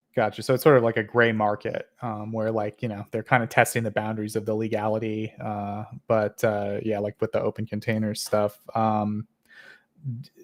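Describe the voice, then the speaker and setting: A man with an American accent speaks at a moderate pace in a fairly low, flat monotone. The recording is very clean and dry, close with no echo, over a silent background. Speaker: panel show moderator. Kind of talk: panel discussion. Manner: halting, many fillers.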